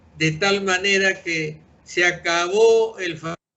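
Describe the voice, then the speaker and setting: A man talks with fairly even intonation. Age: 80s+. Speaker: retired engineer, pensioners' association president. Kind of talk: interview. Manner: halting, with repetitions.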